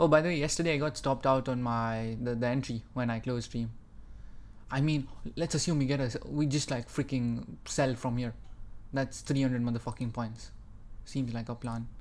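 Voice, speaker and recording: Long, frequent pauses interrupt delivery that otherwise holds a moderate pace. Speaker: day trading streamer. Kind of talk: live trading stream commentary. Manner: loud; animated.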